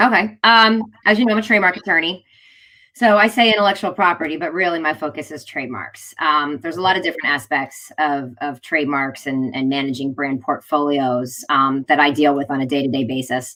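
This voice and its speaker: Her pitch very deep and low, a woman speaks with lively intonation and a bright, sharp tone. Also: fairly quick pace. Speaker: trademark attorney. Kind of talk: podcast interview. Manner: fast.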